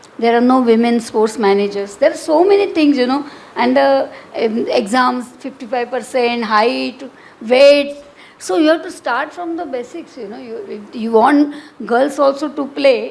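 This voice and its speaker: A woman with a high voice speaks at a fairly slow pace with lively intonation, amid noticeable background noise and audible room echo. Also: big swings in loudness. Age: 70s. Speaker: social activist. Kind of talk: panel discussion. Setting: auditorium with audience. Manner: halting.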